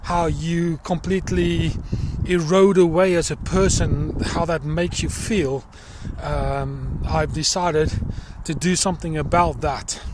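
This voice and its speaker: Noticeable background noise runs under a man speaking at a fairly slow pace in a South African accent. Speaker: social worker. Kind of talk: personal appeal video. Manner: hesitant, many fillers.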